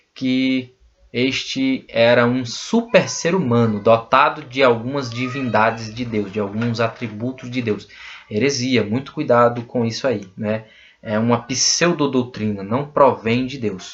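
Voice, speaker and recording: Speaking at a fairly slow pace, a man uses a plain, everyday voice at a medium pitch. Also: fairly even intonation. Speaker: bible teacher. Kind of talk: lecture.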